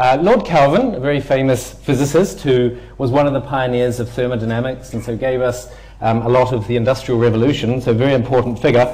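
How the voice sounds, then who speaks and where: A man with a New Zealand accent, very fast and with hardly any pauses, fairly even intonation, audible room echo around him. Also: medium pitch for a man. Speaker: physics lecturer. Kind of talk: public lecture.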